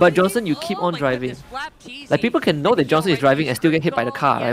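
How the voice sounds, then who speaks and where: With music in the background, a man in a Mandarin accent speaks at a very fast pace in an animated tone. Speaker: esports watch-party streamer. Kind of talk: casual chat.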